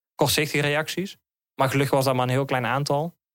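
On a very clean recording with a silent background, a man talks fairly quickly in a fairly high pitch. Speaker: interviewee sharing lived experience of loneliness. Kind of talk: personal testimony in interview. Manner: halting, many hesitations and repetitions.

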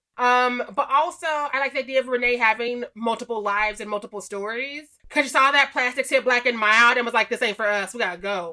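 A woman with an American accent speaks at a fairly quick pace with hardly any pauses, her high pitch carrying a bright, sharp tone and ordinary pitch variation. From Missouri. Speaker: horror writer and podcaster. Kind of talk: casual chat.

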